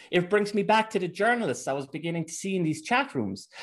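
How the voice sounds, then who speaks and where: Lively intonation marks this man's fairly quick speech in an Irish accent. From Ireland. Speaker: researcher and commentator on Antifa. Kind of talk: casual interview.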